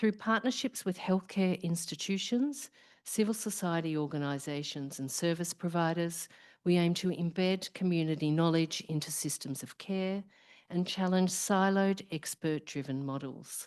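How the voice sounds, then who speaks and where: In an Australian accent, a woman talks at a moderate pace with ordinary pitch variation and a fairly low pitch. The background is quiet. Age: middle-aged. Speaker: professor, research program director. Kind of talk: opening speech at symposium. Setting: live event with audience.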